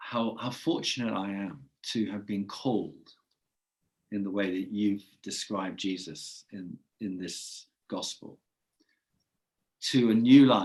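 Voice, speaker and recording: A man with an English accent talks at a very slow pace, leaving long, frequent pauses. His pitch is fairly low with ordinary variation, and his loudness swings widely. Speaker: podcast host. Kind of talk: casual chat.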